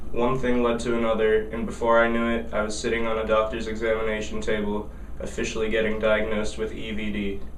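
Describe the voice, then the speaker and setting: A man talking at a very fast pace with hardly any pauses, in a monotone, flat intonation, amid noticeable background noise and audible room echo. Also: medium pitch for a man. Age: 20s. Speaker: comedic video maker and magazine writer. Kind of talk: comedic mock awareness monologue. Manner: soft-spoken.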